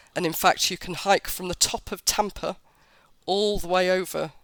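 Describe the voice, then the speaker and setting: Words come at a fairly slow pace. Nothing else is audible on this very clean recording, whose background is silent. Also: woman. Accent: British. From Britain. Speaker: travel blogger. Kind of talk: interview.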